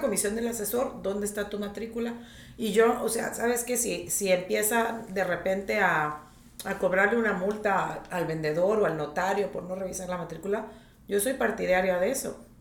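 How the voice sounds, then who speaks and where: A woman's medium-pitched voice carries audible room echo, with noticeable background noise around it. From northern Mexico, Tijuana. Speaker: real estate agent. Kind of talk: podcast interview.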